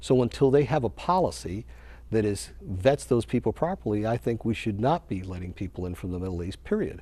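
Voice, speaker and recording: A man speaks at a fairly quick pace in a fairly low pitch with a dark, mellow tone. His voice is somewhat breathy and moves in very wide pitch swings. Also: quiet background. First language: Spanish. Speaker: political candidate. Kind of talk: TV interview. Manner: passionate.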